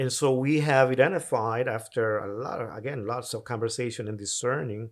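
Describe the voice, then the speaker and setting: A man with a Honduran accent speaks at a moderate pace and medium pitch, with ordinary pitch variation, in a very clean recording with a silent background. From Honduras (Tegucigalpa). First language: Spanish. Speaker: mission agency president. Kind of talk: casual interview chat.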